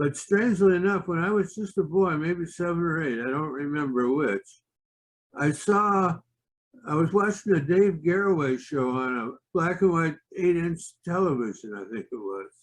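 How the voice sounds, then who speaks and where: Lively in intonation, a man speaks at a high pitch and moderate pace. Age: 70s. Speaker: physicist giving a presentation. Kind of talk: presentation. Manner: halting, many filler words.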